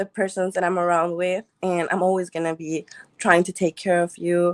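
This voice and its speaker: This woman has a non-native accent and a medium pitch. Her voice sounds dry and close, with no echo. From Mexico. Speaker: dating show contestant. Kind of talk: casual interview.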